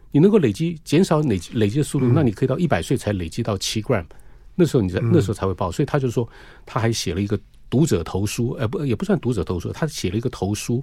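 A somewhat breathy voice with a dark, mellow tone races along at a very fast pace with very wide pitch swings. The recording is very clean, with a silent background. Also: man, medium pitch for a man. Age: 60s. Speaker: cardiologist. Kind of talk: radio interview. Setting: studio.

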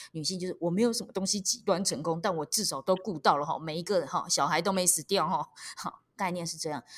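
The talk moves at a very fast pace in a Taiwanese accent, with ordinary pitch variation. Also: woman. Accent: Taiwanese Mandarin. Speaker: stand-up comedian and author. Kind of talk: interview. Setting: remote recording. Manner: lively, expressive; laughs often.

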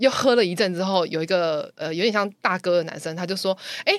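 Her pitch medium and intonation lively, a woman with an unremarkable speaking voice talks at a fairly quick pace. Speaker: podcast guest sharing personal stories. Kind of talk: casual chat, storytelling.

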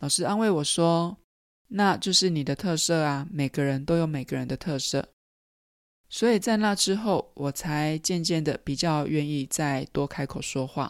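On a very clean recording with a silent background, a woman with a very deep, low voice speaks at a fairly slow pace, with ordinary pitch variation and big swings in loudness. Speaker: podcast host, mindfulness yoga psychologist. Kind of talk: personal storytelling monologue.

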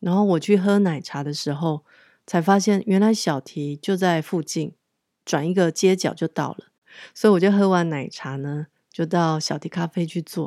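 A woman's fairly low, dark, mellow voice on a very clean recording with a silent background. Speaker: podcast host. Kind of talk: casual monologue.

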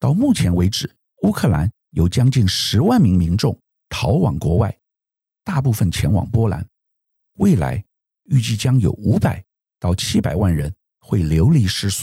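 A man with a fairly low, somewhat breathy voice and a dark, mellow tone speaks at a fairly slow pace, his pitch swinging very widely in a dry, close sound with no echo. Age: 60s. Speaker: podcast host. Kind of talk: news analysis monologue.

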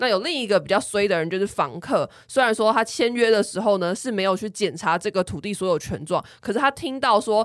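A woman speaks at a fairly quick pace in a medium pitch with lively intonation, using an ordinary speaking voice. The recording is very clean, with a silent background. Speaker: podcast co-host, planner. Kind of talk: casual chat.

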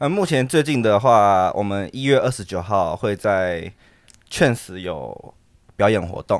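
A man talks at a fairly slow pace in a plain, everyday voice. His pitch sits fairly low, and his intonation is lively. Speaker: dance troupe leader. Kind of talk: casual chat.

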